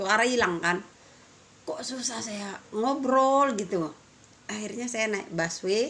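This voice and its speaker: Over noticeable background noise, a woman talks very slowly with ordinary pitch variation. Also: fairly high pitch for a woman. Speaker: vlogger. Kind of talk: casual vlog chat.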